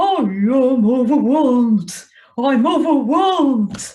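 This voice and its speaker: This put-on character voice sits at a high pitch and moves at a very slow pace. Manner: overwhelmed.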